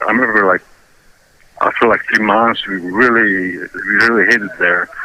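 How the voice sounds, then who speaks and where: With a Ukrainian accent, a man talks at a moderate pace in a fairly low pitch. His pitch varies an ordinary amount, and background noise is noticeable. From Ukraine. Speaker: interviewee. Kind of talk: interview. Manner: halting.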